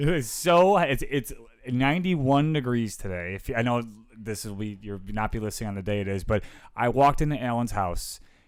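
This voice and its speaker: A man speaks at a medium pitch with lively intonation. He has an ordinary speaking voice. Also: fairly quick pace. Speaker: keynote and motivational speaker. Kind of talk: podcast conversation. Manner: upbeat, chatty.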